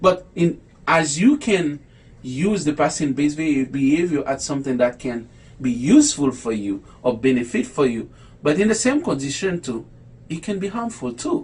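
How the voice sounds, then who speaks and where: In a non-native accent, a man with a fairly high pitch speaks with lively intonation and a somewhat breathy quality. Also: moderate pace. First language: not English. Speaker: low vision educator. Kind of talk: online talk. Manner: halting.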